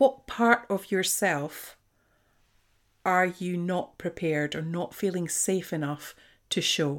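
With a slight Scottish accent, the speaker goes at a very slow pace with long, frequent pauses and ordinary pitch variation on a very clean recording with a silent background. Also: woman, fairly low pitch for a woman. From Scotland. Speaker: podcast host, leadership coach. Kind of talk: solo monologue podcast, conversational. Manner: reflective, conversational.

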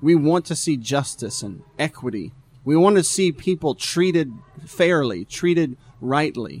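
A plain, everyday voice, a man's, fairly high in pitch, with lively intonation at a fairly slow pace. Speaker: pastor. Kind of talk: casual talk show chat. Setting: live stream.

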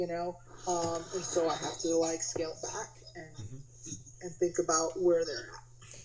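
A woman with an American accent speaks at a moderate pace with a fairly low pitch and ordinary pitch variation. Her loudness swings widely, and there is noticeable background noise. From New Jersey. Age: 40s. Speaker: music educator. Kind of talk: casual chat.

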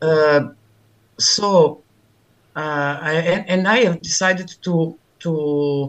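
The voice belongs to a woman with a fairly low pitch. Her pitch variation is ordinary. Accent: Italian. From Milan, Italy. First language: Italian. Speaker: bitcoin meetup organizer. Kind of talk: interview chat. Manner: halting, hesitant.

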